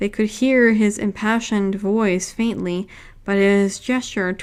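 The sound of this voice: An unforced reading voice carries the words with intonation that stays fairly even.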